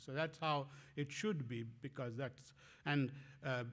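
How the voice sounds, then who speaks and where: A man with a Bengali accent speaks with ordinary pitch variation. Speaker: professor. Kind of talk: lecture. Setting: conference talk. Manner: halting, many fillers.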